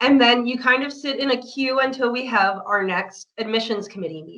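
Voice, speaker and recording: A woman speaks in a normal speaking voice at a moderate pace with ordinary pitch variation. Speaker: project coordinator for a professional association. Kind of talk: online information session presentation.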